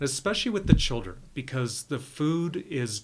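With lively intonation and a somewhat breathy sound, a man speaks at a moderate pace in a very clean recording with a silent background. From Wyoming. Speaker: farmers market director. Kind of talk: casual interview.

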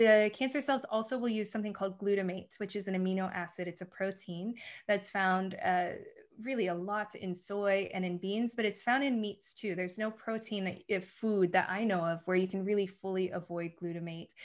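With an American accent, a woman talks at a fairly quick pace and medium pitch, her intonation fairly even against a quiet background. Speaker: nutritionist. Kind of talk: interview. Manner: fast.

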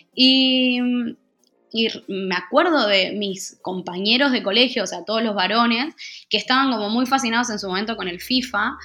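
With music in the background, a woman speaks at a moderate pace in a fairly high voice with ordinary pitch variation. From Argentina. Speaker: NGO communications coordinator. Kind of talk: interview.

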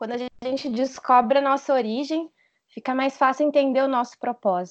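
Her pitch high and its variation ordinary, a woman talks at a fairly quick pace. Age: 30s. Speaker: logistics worker and English teacher, church youth member. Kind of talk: casual chat about faith.

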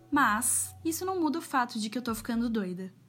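This woman speaks at a high pitch with very wide pitch swings. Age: 20s. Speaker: journalism student and podcaster. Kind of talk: personal monologue podcast. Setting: home alone in apartment. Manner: casual.

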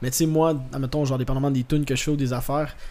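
The voice is a man's. Noticeable background noise is present. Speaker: actor, musician and comedian. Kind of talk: casual chat.

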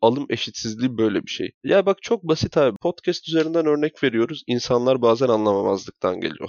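A man speaks in a plain, everyday voice. He has a medium pitch and a moderate pace. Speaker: podcast co-host. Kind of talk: casual chat.

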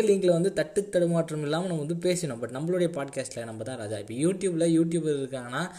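With a dark, mellow tone, a man talks at a fairly high pitch. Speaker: podcaster. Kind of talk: casual chat. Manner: halting.

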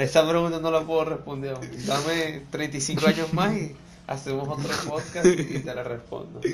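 Noticeable background noise and audible room echo surround a man speaking with a Venezuelan accent at a fairly high pitch. His pace is fairly slow, his intonation fairly even, and his loudness swings widely. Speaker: DJ and music producer. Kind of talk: casual chat interview.

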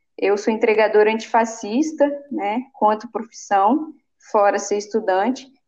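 A woman speaks at a fairly slow pace in a fairly high pitch. Her tone is dark and mellow, with ordinary pitch variation. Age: 20s. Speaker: city council candidate. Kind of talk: interview.

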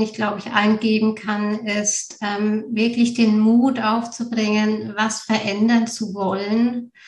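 Very slowly and in a monotone, flat intonation, a woman speaks at a fairly high pitch with a somewhat breathy sound. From Bavaria, Germany. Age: 30s. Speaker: mother, former mentoring participant. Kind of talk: interview.

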